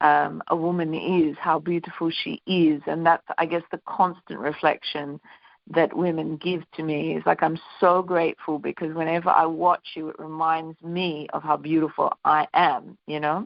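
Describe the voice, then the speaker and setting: The woman's pitch is fairly low. Her intonation stays monotone and flat. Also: moderate pace. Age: 50s. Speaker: singer and women's workshop facilitator. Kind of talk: interview.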